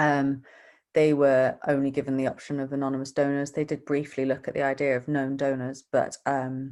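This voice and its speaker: Her voice is very deep and low, with monotone, flat intonation. The woman speaks with a British accent. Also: moderate pace. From UK. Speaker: donor-conceived adult. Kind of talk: casual interview chat.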